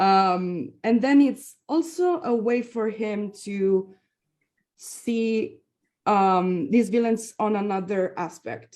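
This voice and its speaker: Using lively intonation, a woman with a fairly high pitch speaks at a very slow pace. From Italy. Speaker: film director and actress. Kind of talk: panel Q&A answer. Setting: festival stage Q&A.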